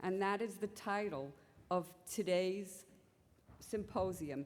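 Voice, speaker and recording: A woman with a New York accent, medium-pitched, at a fairly slow pace with ordinary pitch variation and audible room echo. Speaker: symposium chair, physician scientist. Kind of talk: conference introduction. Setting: conference symposium with audience.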